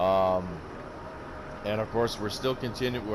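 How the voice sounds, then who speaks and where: A man speaks at a moderate pace in a fairly low voice with ordinary pitch variation. Audible room echo and noticeable background noise are present. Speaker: gaming YouTuber. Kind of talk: gameplay commentary outro. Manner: halting.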